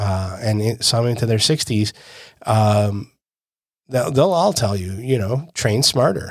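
At a fairly slow pace, a man uses a normal speaking voice with ordinary pitch variation in a very clean recording with a silent background. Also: medium pitch for a man. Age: 50s. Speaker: jiu-jitsu coach and podcast co-host. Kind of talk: casual chat.

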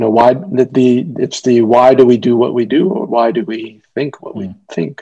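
A man with an American accent speaks in a plain, everyday voice at a medium pitch and a moderate pace, with lively intonation and hardly any pauses. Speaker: physician. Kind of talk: casual chat.

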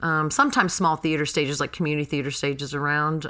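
Noticeable background noise sits behind a woman speaking very fast in an American accent. Her pitch is very deep and low, and her intonation fairly even. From North Carolina (Graham). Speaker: actress and theater education director. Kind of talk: casual interview.

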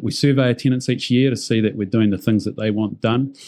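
Speaking with a New Zealand accent, a man uses a dark, mellow tone, fairly even intonation and a fairly quick pace. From New Zealand, Auckland. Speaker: company CEO. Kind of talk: interview.

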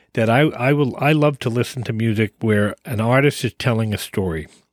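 In a normal speaking voice with an American accent, the speaker talks at a moderate pace with lively intonation, in a dry, close sound with no echo and a very clean recording over a silent background. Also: man. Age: 50s. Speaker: podcast co-host, driver. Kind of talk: casual chat.

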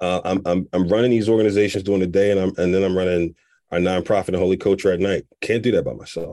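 A man speaks very fast in a very deep, low voice with a dark, mellow tone. His intonation is monotone and flat, on a very clean recording with a silent background. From Philadelphia, US. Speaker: nonprofit founder, former corporate executive. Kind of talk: interview. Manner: laughs often.

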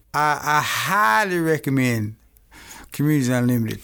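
A man talks with an Arkansas accent. His pitch varies in an ordinary way. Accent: Southern US (Arkansas). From Arkansas, Camden. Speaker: small business owner. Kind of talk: interview, personal testimony.

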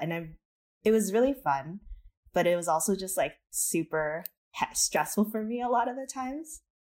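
A woman with an American accent and a plain, everyday voice, lively intonation and a moderate pace. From California. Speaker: podcast audio producer. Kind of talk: casual chat.

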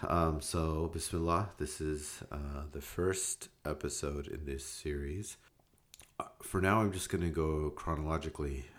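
A man speaks with a very deep, low pitch and fairly even intonation. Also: fairly slow pace. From US, Davis, California (born in Hyderabad, India). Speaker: podcaster. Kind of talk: personal storytelling monologue. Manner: hesitant, many fillers.

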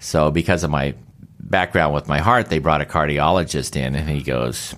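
This man's voice sits very deep and low, carrying vocal fry, ordinary pitch variation and a moderate pace. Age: 60s. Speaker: solar energy company CEO and older athlete. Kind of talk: interview. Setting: in his company office.

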